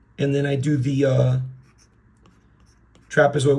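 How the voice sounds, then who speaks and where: Somewhat breathy and fairly high-pitched, a man speaks at a moderate pace amid audible room echo. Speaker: art teacher. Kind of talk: drawing tutorial.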